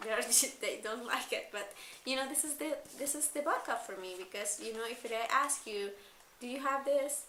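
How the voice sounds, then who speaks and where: A woman speaks in a high voice with a non-native accent. Room echo is audible. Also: ordinary pitch variation, moderate pace. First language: not English. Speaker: school coordinator vlogger. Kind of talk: personal vlog. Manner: halting.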